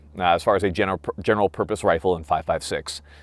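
A man at a fairly quick pace, with ordinary pitch variation and a dry sound with no echo. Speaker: firearms reviewer. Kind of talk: product review commentary. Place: open country. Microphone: lapel.

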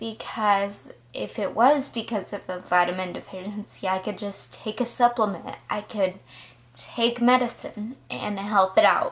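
At a fairly slow pace, a woman talks with a medium pitch and ordinary pitch variation. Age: 20s. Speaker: college student, psychology major. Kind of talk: casual personal story to camera. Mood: earnest, reflective. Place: home room. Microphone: phone near.

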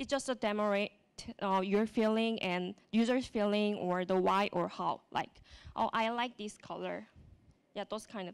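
A woman with a Korean accent, fairly even intonation and a moderate pace. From South Korea. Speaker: web developer and speaker. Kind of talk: conference talk. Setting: stage with audience. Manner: halting, hesitant with fillers. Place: hall. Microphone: handheld.

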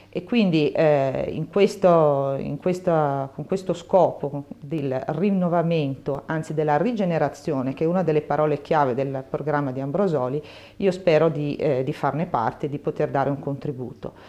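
A woman with a very deep, low pitch speaks in a dark, mellow tone with ordinary pitch variation. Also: moderate pace. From Lombardy, Saronno near Milan. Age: 50s. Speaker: local politician and university mathematics researcher. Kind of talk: campaign video statement. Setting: bookshop. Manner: hesitant, many fillers and repetitions.

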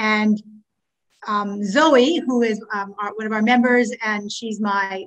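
A woman speaks with a Canadian accent at a fairly high pitch and fairly even intonation against a quiet background. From Ontario, Canada (Scarborough). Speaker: past president of a teachers' association. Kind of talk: meeting chairing and financial report. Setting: video call. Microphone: video call.

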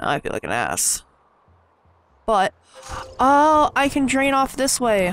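Speaking at a fairly slow pace with an American accent, the voice leaves long, frequent pauses. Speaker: gaming YouTuber. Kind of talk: let's play commentary. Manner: animated.

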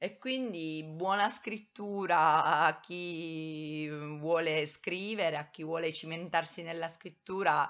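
Against a quiet background, a woman speaks at a very slow pace. Her pitch is fairly low and her intonation fairly even. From Italy, Abruzzo (Teramo); Abruzzo, Italy. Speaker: vlogger, writing workshop leader; vlogger who works at a day centre. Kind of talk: personal vlog monologue. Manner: hesitant, many fillers. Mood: reflective, warm. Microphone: webcam.

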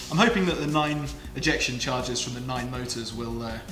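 Music plays in the background. Over it, a man talks at a moderate pace. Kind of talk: tutorial. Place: workshop.

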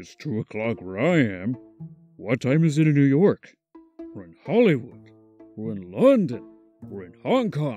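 A man of medium pitch puts on a character voice at a moderate pace, leaving long, frequent pauses, with faint music in the background.

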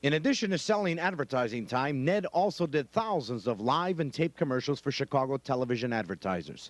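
Speaking at a fairly quick pace, a man with a plain, everyday voice and a medium pitch uses lively intonation. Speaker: TV host. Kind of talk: TV tribute narration.

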